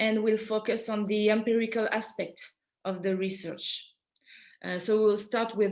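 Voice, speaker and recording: On a very clean recording with a silent background, a woman with a French accent talks at a moderate pace, her pitch fairly high and her intonation fairly even. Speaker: PhD student and French teacher presenting research. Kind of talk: conference presentation. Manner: halting, with many fillers.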